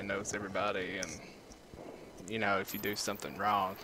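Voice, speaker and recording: Amid noticeable background noise and audible room echo, a man with a Kentucky accent and fairly low pitch talks at a very fast pace. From eastern Kentucky, US. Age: 20s. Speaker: gamer. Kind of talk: gameplay commentary. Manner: casual, with many fillers.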